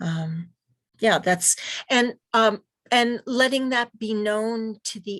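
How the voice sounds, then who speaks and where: In a quiet background, a woman with an American accent speaks at a very slow pace with ordinary pitch variation. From US Northeast. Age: 60s. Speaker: physician and trainer. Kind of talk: online training Q&A. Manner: halting with frequent fillers.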